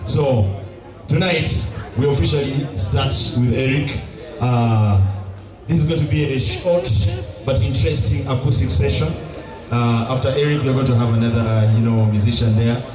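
Over clear background music, a man talks at a moderate pace with ordinary pitch variation and long, frequent pauses. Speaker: event MC. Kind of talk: MC stage announcement. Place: stage.

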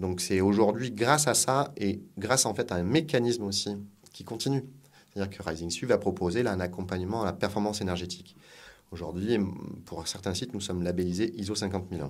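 A man with an unremarkable speaking voice talks at a fairly quick pace. His pitch is fairly low, with ordinary variation. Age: 40s. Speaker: food industry executive. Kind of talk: interview.

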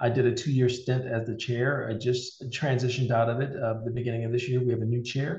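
Audible room echo surrounds a somewhat breathy man. He speaks at a very fast pace with monotone, flat intonation and hardly any pauses. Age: 50s. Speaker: cybersecurity leader and military veteran; interview guest. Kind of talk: interview. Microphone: video call.

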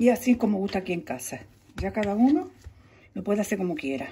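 A woman speaks at medium pitch and a moderate pace, her intonation lively. Her tone is dark and mellow with a husky, rough edge.

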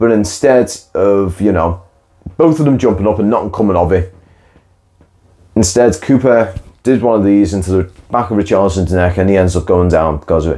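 With a dark, mellow tone and fairly low pitch, a man speaks with lively intonation.

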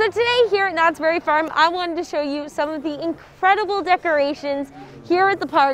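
At a moderate pace, a woman talks at an extremely high pitch in a dry sound with no echo. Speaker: vlogger host. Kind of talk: casual vlog chat. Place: street.

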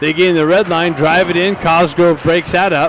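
Light background noise sits under a dry, echo-free voice moving at a moderate pace. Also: man. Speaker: hockey play-by-play announcer. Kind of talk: live play-by-play commentary. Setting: live at the rink. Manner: shifts to relaxed, laughing banter with coaches when play stops. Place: stadium.

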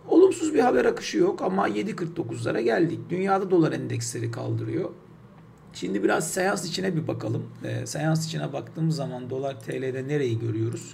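Noticeable background noise around a man speaking at a moderate pace. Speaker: financial markets commentator; market commentator. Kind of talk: market analysis talk. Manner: hesitant with many fillers; unedited one-take delivery. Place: home room. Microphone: webcam.

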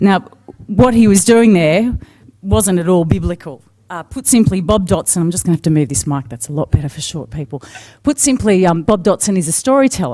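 A woman's fairly low, dark and mellow voice with an Australian accent, fairly quick, with very wide pitch swings and big shifts in loudness over a quiet background. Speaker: TV news anchor, moderator. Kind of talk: speaker introduction at a conference. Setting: conference stage with audience. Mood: warm, lightly humorous. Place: hall. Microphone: podium.

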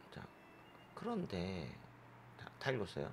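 Audible room echo follows a man whose voice shows vocal fry and very wide pitch swings. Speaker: English exam tutor. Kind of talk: lecture.

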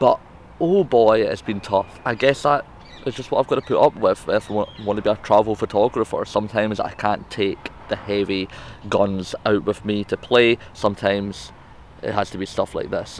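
Light background noise, a man at a moderate pace, and dry sound with no echo. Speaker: travel vlogger. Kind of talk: casual vlog chat. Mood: light, joking. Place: garden. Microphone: phone near.

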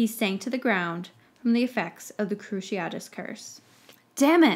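The speaker does plain reading aloud. Nothing more is added to it.

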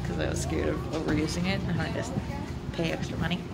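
Fairly quick speech with music in the background. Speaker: vlogger. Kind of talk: casual vlog chat. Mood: amused, chatty. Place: street. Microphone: phone near.

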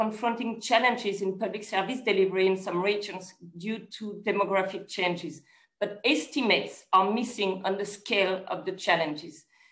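A woman talks at a moderate pace against a quiet background with audible room echo. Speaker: event moderator. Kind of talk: formal opening remarks. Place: office. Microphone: video call.

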